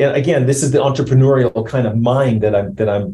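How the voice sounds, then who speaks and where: A somewhat breathy man's voice of medium pitch, with a dark, mellow tone and a Canadian accent. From Canada. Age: 60s. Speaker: company CEO, founder. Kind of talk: interview.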